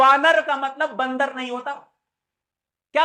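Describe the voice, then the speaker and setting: A man's extremely high, raised and projected voice, bright and sharp, with an animated tone. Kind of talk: religious discourse. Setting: temple with audience. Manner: loud.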